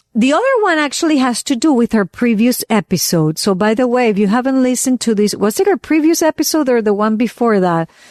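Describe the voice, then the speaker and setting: A woman's fairly high, animated voice with a Venezuelan accent, lively intonation, very even loudness, a fairly quick pace and hardly any pauses, in a dry, close sound with no echo over a quiet background. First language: Spanish. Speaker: podcast co-host. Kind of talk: casual chat.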